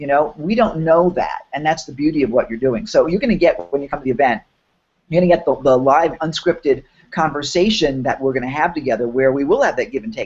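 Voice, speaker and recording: Someone with a New York accent talks at a very fast pace. The pitch varies in an ordinary way. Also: man. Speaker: online business workshop host. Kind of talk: live webinar promo chat. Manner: animated.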